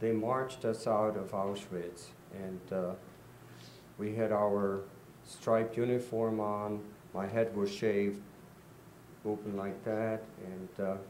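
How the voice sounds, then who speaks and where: In a room with audible echo, a man talks at a very slow pace with fairly low pitch, monotone, flat intonation, and long, frequent pauses. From Czechoslovakia, Prague. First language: Czech. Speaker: Holocaust survivor. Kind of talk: testimony.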